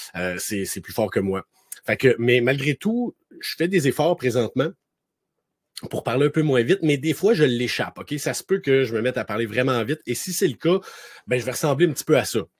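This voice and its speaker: In a Quebec accent, a man speaks with an animated tone and lively intonation, taking long, frequent pauses, recorded dry and close with no echo. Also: medium pitch for a man. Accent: Québécois French. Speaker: author and speaker. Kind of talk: talk. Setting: webinar. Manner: fast.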